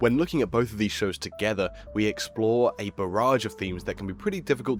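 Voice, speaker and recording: Over music in the background, a man speaks very fast at a fairly low pitch with ordinary pitch variation. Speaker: video essayist. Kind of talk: video essay narration.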